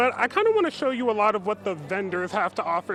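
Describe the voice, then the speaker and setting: A man's fairly high voice at a fairly quick pace, with noticeable background noise. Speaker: television news reporter. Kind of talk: live TV news standup.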